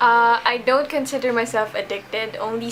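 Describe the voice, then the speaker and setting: A fairly slow, fairly high-pitched woman's voice amid noticeable background noise. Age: 20s. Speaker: gamer interviewee. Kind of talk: interview answers.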